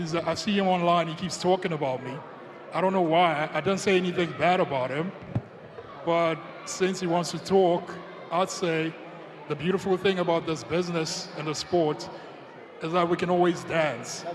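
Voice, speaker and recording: A man with a high voice speaks at a moderate pace with long, frequent pauses, amid noticeable background noise and audible room echo. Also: fairly even intonation. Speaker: heavyweight MMA fighter. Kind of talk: press conference answers.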